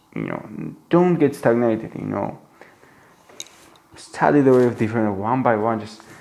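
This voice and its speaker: Speaking with a non-native accent, a man keeps a moderate pace and a medium pitch. Long, frequent pauses break up his speech. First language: not English. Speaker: book reviewer. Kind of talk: book commentary monologue. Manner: halting, many fillers and restarts; animated.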